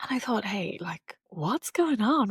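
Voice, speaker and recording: A woman's somewhat breathy voice moves at a moderate pace, her intonation lively. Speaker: podcast host. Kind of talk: personal storytelling podcast. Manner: casual, with fillers.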